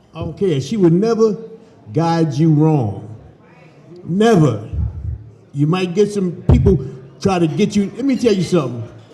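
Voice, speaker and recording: Audible room echo surrounds a man with an American accent and a high pitch who speaks at a fairly slow pace with very wide pitch swings and long, frequent pauses. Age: 60s. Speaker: former football player. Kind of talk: speech at dinner.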